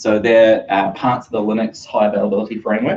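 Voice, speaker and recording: The man's voice sits at a medium pitch. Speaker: tech meetup speaker. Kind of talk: technical talk. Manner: fast.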